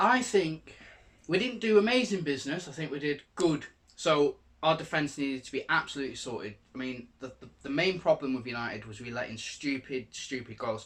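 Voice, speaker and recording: Fast-paced and fairly high-pitched, a man with a northern English accent makes very wide pitch swings and big swings in loudness. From northern England, Salford. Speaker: football vlogger. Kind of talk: casual chat.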